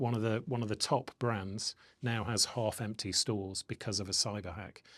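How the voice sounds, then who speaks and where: Speaking with a British accent, a man uses a medium pitch and a moderate pace. The recording is very clean, with a silent background. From UK. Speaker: podcast host. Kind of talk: interview. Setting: office.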